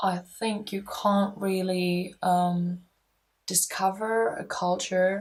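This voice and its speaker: Somewhat breathy, a woman with a German accent speaks in a monotone, flat intonation. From Germany. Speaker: university student. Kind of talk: personal interview monologue. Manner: halting, with many fillers.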